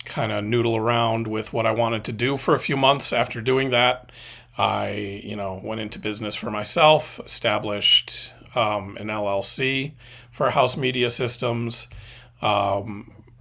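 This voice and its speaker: A man at medium pitch with a bright, sharp tone and vocal fry, fairly even intonation and a fairly slow pace. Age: 40s. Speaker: media consultant and former video editor. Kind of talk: casual vlog monologue. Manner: halting with many fillers.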